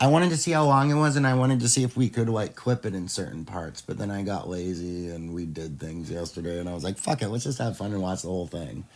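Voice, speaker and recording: Very fast, nearly pauseless delivery in a Midwestern accent, with very wide pitch swings. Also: man, fairly low pitch for a man. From US Midwest. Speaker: pop culture commentator. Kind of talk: casual reaction chat. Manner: casual, halting with fillers.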